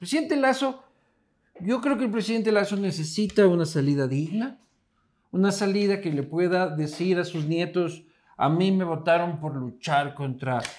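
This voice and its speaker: A high-pitched man speaks with lively intonation. His pace is moderate. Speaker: political podcast co-host. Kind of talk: casual political banter. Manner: animated.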